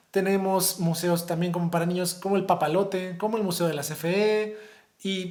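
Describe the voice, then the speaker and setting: A man talks at a high pitch with fairly even intonation. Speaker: high school teacher. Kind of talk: lecture. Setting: recorded video for virtual conference. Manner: fast.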